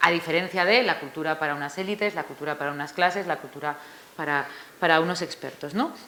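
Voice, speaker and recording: A very fast pace with ordinary pitch variation. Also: woman, fairly low pitch for a woman. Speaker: author presenting her book. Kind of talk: book presentation talk. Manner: hesitant, many fillers.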